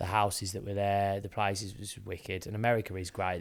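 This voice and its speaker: A man's fairly low voice at a very fast pace, monotone and flat in intonation. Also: very clean recording, silent background. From England, Birmingham area. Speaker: business owner, podcast co-host. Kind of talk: casual chat. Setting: video podcast on camera.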